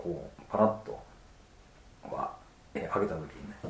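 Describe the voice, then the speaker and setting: A man speaks amid noticeable background noise, his voice carrying audible room echo. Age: 40s. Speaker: osteopath clinic director. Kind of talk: interview.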